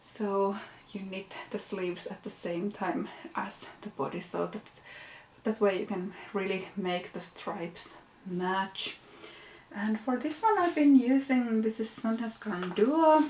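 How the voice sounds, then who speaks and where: A woman of medium pitch at a fairly slow pace, with lively intonation, big swings in loudness and noticeable background noise. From Finland. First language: Finnish. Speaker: knitting podcaster. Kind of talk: casual vlog show-and-tell. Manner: casual with hesitations.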